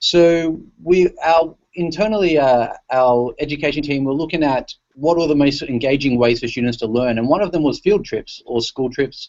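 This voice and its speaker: Speaking with an Australian accent, a man keeps a moderate pace and a fairly high pitch with ordinary pitch variation. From Australia, Sydney. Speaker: tech company education specialist. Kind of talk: presentation in online panel. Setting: video call. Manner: casual, many fillers and restarts.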